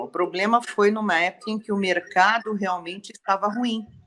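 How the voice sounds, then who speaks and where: At a moderate pace, a woman talks in a normal speaking voice with a medium pitch and fairly even intonation. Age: 60s. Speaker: civil engineer. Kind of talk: testimony.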